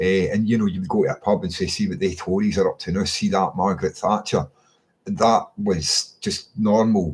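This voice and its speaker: Speaking at a moderate pace, a man talks with a Scottish accent. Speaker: political commentator. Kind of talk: casual monologue. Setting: webcam recording at home. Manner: halting, many fillers and repeats.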